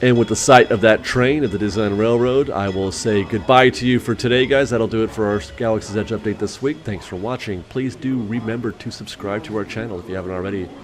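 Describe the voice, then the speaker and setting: With noticeable background noise behind him, a man talks at a fairly quick pace with hardly any pauses. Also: ordinary pitch variation. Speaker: Disney theme park vlogger. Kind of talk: vlog narration.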